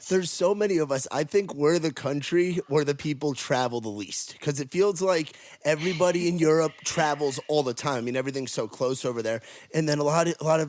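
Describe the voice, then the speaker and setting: A man with a New York accent at a fairly quick pace. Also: fairly high pitch for a man, ordinary pitch variation. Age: 20s. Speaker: podcast host. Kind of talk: casual chat. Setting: video call.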